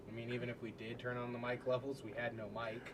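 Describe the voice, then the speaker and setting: A man speaks fairly quickly against noticeable background noise. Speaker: comedy podcast co-host. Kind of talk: casual chat.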